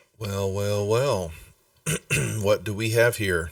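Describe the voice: A man puts on a character voice, pitched fairly low. He delivers it at a fairly slow pace with fairly even intonation.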